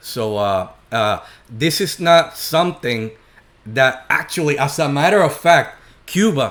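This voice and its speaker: With a Puerto Rican accent, a man talks with lively intonation. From Puerto Rico. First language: Spanish. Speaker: political commentator. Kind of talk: reaction commentary. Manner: halting, many fillers.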